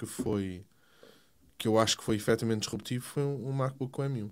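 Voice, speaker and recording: This man's pitch sits at a medium level. He talks at a moderate speed, with fairly even intonation. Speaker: tech podcast guest. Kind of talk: casual chat.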